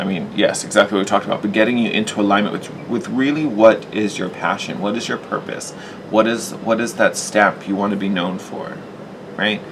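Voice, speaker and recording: Fairly quick, fairly low-pitched male speech with ordinary pitch variation over noticeable background noise. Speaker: tarot reader. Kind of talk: tarot reading.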